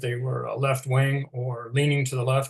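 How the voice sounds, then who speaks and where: With a Canadian accent, a man speaks at a moderate pace in a fairly high, somewhat breathy voice. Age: 60s. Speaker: retired teacher. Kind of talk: interview presentation. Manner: halting.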